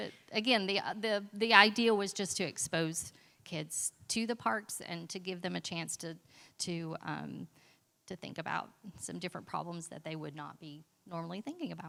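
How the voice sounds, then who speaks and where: A woman with vocal fry and a bright, sharp tone speaks with ordinary pitch variation and big swings in loudness, in a very clean recording with a silent background. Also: fairly low pitch for a woman, moderate pace. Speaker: school librarian presenting at conference. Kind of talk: conference presentation.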